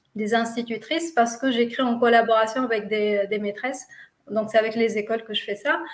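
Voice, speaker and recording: A woman's fairly high voice with a non-native accent, fairly even intonation and a moderate pace. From Tunisia. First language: not French (speaking French). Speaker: physiotherapist, lecturer and children's author. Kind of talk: interview. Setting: live video stream. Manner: hesitant, many fillers.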